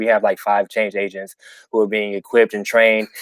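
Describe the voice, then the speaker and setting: The man's pitch is medium. He talks very fast. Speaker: community organizer. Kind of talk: live Q&A interview. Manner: halting, many fillers and repeats.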